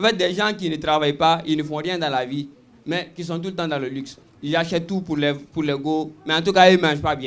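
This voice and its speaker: A man speaks at a moderate pace in a high-pitched voice. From Guinea. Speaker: stand-up comedian. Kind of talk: live stand-up comedy.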